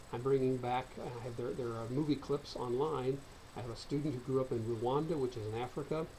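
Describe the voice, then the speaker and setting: A dark, mellow, somewhat breathy voice in an American accent, with fairly even intonation and audible room echo. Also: man, medium pitch for a man. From US Midwest, central Illinois. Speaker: college lecturer. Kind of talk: recorded online course lecture. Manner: fast.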